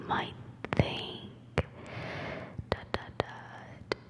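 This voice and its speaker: Someone is whispering. Noticeable background noise sits behind the voice. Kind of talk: ASMR whispered fact reading. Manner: whispered.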